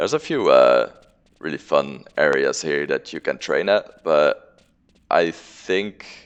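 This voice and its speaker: A man speaks with a strong non-native accent. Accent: thick non-native English. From non-English-speaking country. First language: not English. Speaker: video game streamer. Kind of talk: casual live-stream chat. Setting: live stream. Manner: hesitant with many fillers.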